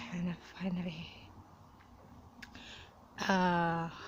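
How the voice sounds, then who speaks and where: A woman speaks with a somewhat breathy voice. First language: not English. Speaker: religious minority testimony giver. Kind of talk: personal testimony.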